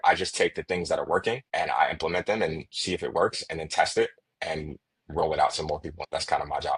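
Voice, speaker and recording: The man talks at a very fast pace. The sound is dry and close, with no echo. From Chicago, USA. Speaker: sales enablement consultant. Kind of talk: podcast interview answer.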